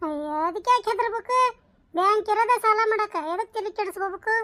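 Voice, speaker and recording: In a squeaky, cartoonish character voice with an extremely high pitch, a woman speaks at a fairly slow pace, the sound dry and close with no echo. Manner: brash, fast-talking.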